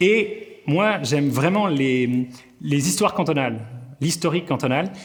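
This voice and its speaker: A man speaks slowly-ish in a fairly high, somewhat breathy voice with lively intonation and very even loudness. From Vaud, Switzerland. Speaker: comedian. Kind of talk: interview answer. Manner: energetic.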